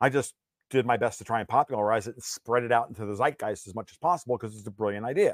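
A man with an American accent talks very fast at medium pitch, in an animated tone with big swings in loudness and ordinary pitch variation. The recording is dry and close, with no echo. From US Northeast (New York). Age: 50s. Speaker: political and financial commentator. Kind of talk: interview.

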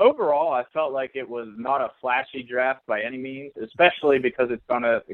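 With an American accent and a plain, everyday voice, a man talks at a fairly quick pace and medium pitch, his intonation fairly even and hardly any pauses. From South Central Pennsylvania, Fulton County. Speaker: sports journalist. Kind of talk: casual sports podcast chat.

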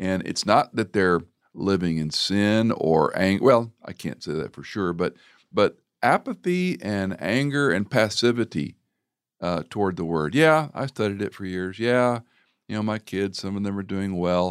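A plain, everyday voice: a man with fairly low pitch at a fairly slow pace, dry and close with no echo, on a very clean recording with a silent background. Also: lively intonation. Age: 60s. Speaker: radio host. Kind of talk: interview conversation.

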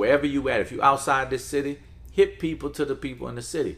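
A man speaks with a New Orleans accent. His pace is very fast. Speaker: music executive. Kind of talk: interview.

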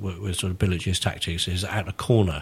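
Fairly quick, somewhat breathy speech from a man. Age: 60s. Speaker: author and football fan. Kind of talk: casual chat.

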